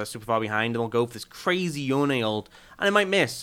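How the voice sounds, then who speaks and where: This voice has a bright, sharp tone and ordinary pitch variation, with a British accent. It moves at a very fast pace. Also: man. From UK. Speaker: esports caster. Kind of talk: casual chat.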